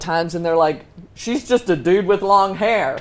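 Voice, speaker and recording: Speaking with a Texas accent, a woman keeps a moderate pace and ordinary pitch variation. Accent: Texas twang. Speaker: Navy veteran, founder of women's ministry. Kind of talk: talk show interview.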